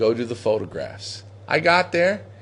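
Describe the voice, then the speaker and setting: A man speaks with an American accent at a fairly slow pace. His tone is animated. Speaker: pigeon auction host. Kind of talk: casual chat. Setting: facebook live show at a pigeon loft.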